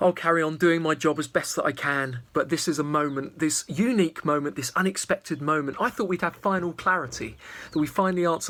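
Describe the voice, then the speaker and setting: Animated and very fast, a man speaks at a fairly high pitch with ordinary pitch variation. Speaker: wildlife filmmaker. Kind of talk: vlog narration; live wildlife commentary. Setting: at home, garden. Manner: quiet, hushed.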